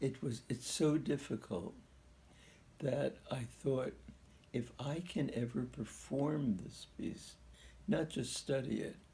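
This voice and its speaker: Very slowly and with long, frequent pauses, a man speaks at a medium pitch with a dark, mellow tone, vocal fry and ordinary pitch variation. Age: 90s. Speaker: pianist. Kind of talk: interview.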